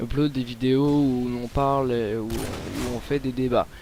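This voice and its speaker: Noticeable background noise runs through the clip. The voice over it stays monotone, with flat intonation. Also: man. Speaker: gaming commentator. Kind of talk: gameplay commentary. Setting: at home late at night. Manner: hesitant, many fillers.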